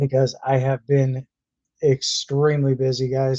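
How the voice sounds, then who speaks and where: Dry and close with no echo, a man's medium-pitched voice has a dark, mellow tone and a monotone, flat intonation. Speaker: YouTube live streamer. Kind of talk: live stream chat. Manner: loud.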